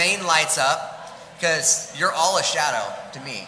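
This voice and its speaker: A man with a high pitch talks at a moderate pace. Audible room echo and noticeable background noise fill the recording. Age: 40s. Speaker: gala emcee at a community center. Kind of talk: live event hosting, auction announcements. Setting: stage at a gala with a live audience. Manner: animated, joking.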